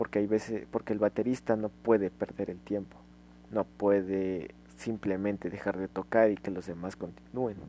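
At a moderate pace, a man speaks with a fairly low pitch and a dark, mellow tone. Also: ordinary pitch variation. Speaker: amateur podcaster explaining music. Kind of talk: casual solo explainer monologue. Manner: hesitant, with fillers and restarts.

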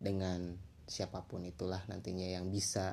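A man speaks at a moderate pace. His very deep, low pitch carries a dark, mellow tone. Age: 20s. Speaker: university student podcaster. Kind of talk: solo casual podcast monologue. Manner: halting, many fillers and restarts.

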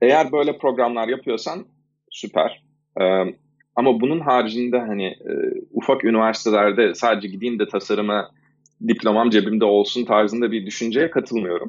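Ordinary pitch variation and a medium pitch shape this man's speech at a moderate pace. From Istanbul, Turkey. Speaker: freelance designer. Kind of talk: interview. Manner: halting.

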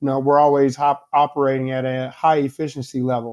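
With an American accent, a man speaks at a fairly high pitch in a monotone, flat intonation. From US Midwest, Indianapolis, Indiana. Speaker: engineering director. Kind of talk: casual interview.

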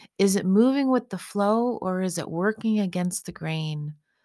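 At a fairly slow pace, a woman talks in an unremarkable speaking voice with a medium pitch and ordinary pitch variation. The recording is very clean, with a silent background. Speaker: meditation guide. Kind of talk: guided meditation. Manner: soft-spoken; slow, calming.

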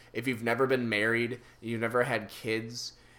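A man with a bright, sharp tone speaks at medium pitch and a moderate pace. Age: 20s. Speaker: podcast co-host. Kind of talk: casual chat.

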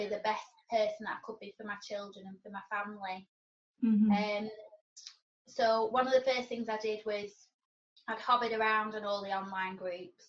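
A woman speaks at a fairly quick pace with medium pitch. Her voice is somewhat breathy, with monotone, flat intonation. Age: 40s. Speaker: sober blogger and weightlifting enthusiast. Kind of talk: casual interview.

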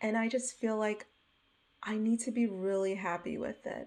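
Her pitch sits fairly high, with ordinary variation, and she speaks at a fairly slow pace. The woman has an ordinary speaking voice. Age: 30s. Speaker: writer podcaster. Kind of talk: casual monologue. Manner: laughs often.

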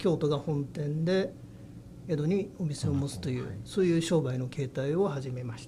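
A man with a fairly high pitch, a dark, mellow tone and a somewhat breathy sound talks at a moderate pace with ordinary pitch variation and big swings in loudness, and audible room echo surrounds him. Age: 60s. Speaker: head of a long-established family business. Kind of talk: interview. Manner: halting.

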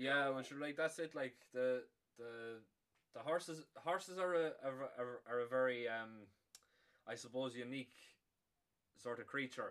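With an Irish accent, a man speaks at a fairly slow pace and medium pitch, using ordinary pitch variation and long, frequent pauses. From Ireland. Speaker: podcast host. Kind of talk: casual chat; show intro.

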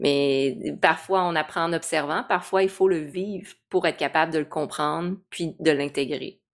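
A woman with a very deep, low pitch, hardly pausing, on a very clean recording with a silent background. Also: fairly even intonation, fairly slow pace. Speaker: podcast host. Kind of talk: casual interview.

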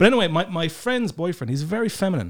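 With an Irish accent, a voice races at a very fast pace with very wide pitch swings on a very clean recording with a silent background. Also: man. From Ireland. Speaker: comedian. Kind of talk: casual chat. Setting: studio.

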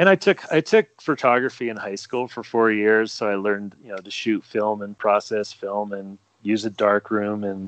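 A man in a normal speaking voice at medium pitch, talking at a fairly slow pace. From New Jersey. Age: 50s. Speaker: ultra running photographer. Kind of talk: casual chat.

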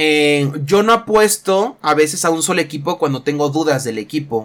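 On a very clean recording with a silent background, a man with a fairly high pitch uses a plain, everyday voice. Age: 20s. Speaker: youtuber and sports bettor. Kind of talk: solo podcast monologue. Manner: casual, with fillers.

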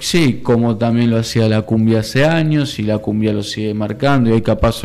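With a Rioplatense accent, a man speaks fairly quickly at medium pitch in a dark, mellow tone with ordinary pitch variation. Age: 30s. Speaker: community library manager and former city councillor. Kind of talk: radio interview.

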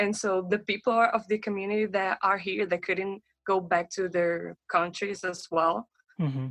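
A woman with a Portuguese accent talks at a moderate pace and medium pitch, with fairly even intonation and a dry, close sound with no echo. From Brazil. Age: 20s. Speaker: pharmacy student. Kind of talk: interview.

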